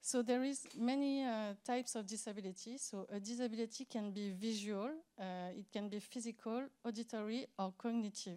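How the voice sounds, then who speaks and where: In a French accent, the voice has a dark, mellow tone, a moderate pace and fairly even intonation. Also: woman. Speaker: accessibility expert. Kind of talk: conference talk. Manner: halting, many fillers.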